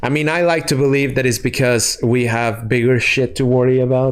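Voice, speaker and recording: A man speaks at a moderate pace with a Spanish accent. The recording is very clean, with a silent background. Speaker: gaming streamer. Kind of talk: casual chat. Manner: halting.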